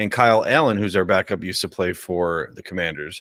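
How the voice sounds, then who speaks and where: A man talks fairly quickly in an ordinary speaking voice, his pitch varying in an ordinary way. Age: 40s. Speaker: sports podcast co-host. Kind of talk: casual chat.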